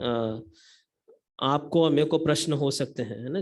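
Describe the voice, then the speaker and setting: A man speaks with a non-native accent. His intonation stays fairly even. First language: not Hindi (speaking Hindi). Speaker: lay preacher. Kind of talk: sermon. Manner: halting, many fillers.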